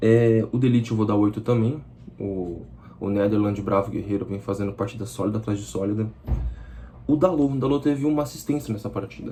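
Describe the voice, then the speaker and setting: A man with a fairly low pitch and a dark, mellow, somewhat breathy tone talks at a fairly quick pace, with ordinary pitch variation and long, frequent pauses. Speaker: football fan channel presenter. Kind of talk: solo match analysis vlog. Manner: fast; casual, conversational.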